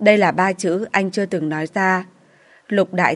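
The reading voice here is unforced.

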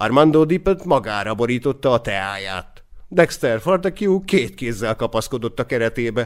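This unforced reading voice has lively intonation.

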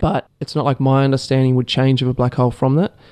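A man with an Australian accent speaks in a dark, mellow tone at medium pitch. The recording is dry and close, with no echo. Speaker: PhD student in marine science. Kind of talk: casual interview. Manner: hesitant, many fillers.

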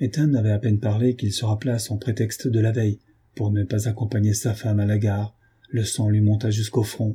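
The text comes across in an unforced reading voice.

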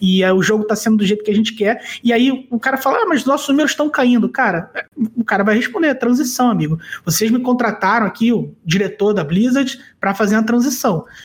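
Fairly quick speech with ordinary pitch variation and very even loudness. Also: man, high pitch for a man. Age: 30s. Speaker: card game commentator. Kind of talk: casual chat.

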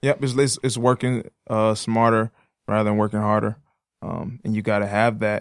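A man with an American accent and an ordinary speaking voice talks at a fairly quick pace and medium pitch, the sound dry and close with no echo. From Detroit area, Michigan. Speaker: podcast co-host. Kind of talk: casual conversation. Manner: run-on speech with many repetitions and fillers.

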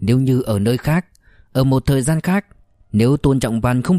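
Pitch moves up and down in an ordinary way. Someone is reading aloud in a natural voice.

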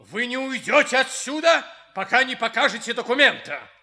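At a moderate pace, a man does a put-on character voice with an extremely high pitch and a bright, sharp tone. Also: ordinary pitch variation.

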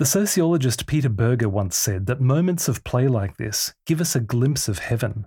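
A man at medium pitch, somewhat breathy, with a dark, mellow tone, lively intonation and moderate pace, on a very clean recording with a silent background. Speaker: podcast host and author. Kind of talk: audiobook reading of his own book, literary first-person storytelling. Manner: measured, warm, reflective narration; gentle and inspirational, with a sincere tone.

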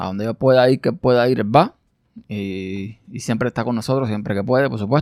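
The sound is dry and close with no echo as a man with a medium pitch speaks at a moderate pace, his pitch varying in an ordinary way. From Cuba, rural village. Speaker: podcast host. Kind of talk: personal monologue. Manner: hesitant, with fillers and repetitions.

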